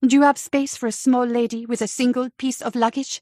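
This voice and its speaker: Putting on a character voice, a woman speaks at a high pitch with monotone, flat intonation and a fairly quick pace, in a dry, close sound with no echo. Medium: read story.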